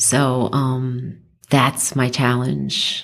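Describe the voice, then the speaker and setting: A woman speaks with a New York accent. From New York, the Bronx. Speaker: abuse survivor and advocate. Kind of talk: interview. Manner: animated.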